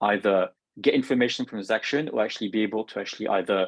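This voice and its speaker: A man with a French accent, very fast pace and fairly low pitch, in a dry, close sound with no echo. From France. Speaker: software product manager. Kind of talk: product presentation. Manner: halting.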